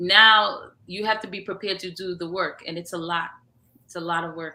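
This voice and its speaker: A woman with a New York accent speaks at a medium pitch and a moderate pace, in a bright, sharp tone. Her intonation stays fairly even, though her loudness swings widely. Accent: New York American English. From US Northeast, Long Island, New York. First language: Haitian Creole. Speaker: entrepreneur and media founder. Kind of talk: interview. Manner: halting.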